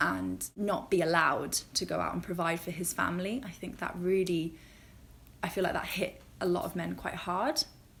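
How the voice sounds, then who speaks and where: With a British accent, a woman talks at a moderate pace and shows vocal fry. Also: ordinary pitch variation. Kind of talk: casual talk to camera.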